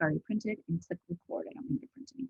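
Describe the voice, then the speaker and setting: The woman's voice comes across with a dry, close sound with no echo. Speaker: office manager training a colleague on bookkeeping. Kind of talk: screen-share tutorial. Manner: fast.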